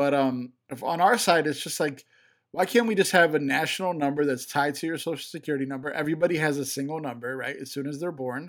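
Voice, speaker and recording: A man's fairly high voice with an American accent and ordinary pitch variation at a very fast pace, on a very clean recording with a silent background. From Chicago. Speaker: podcast co-host. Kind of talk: casual chat.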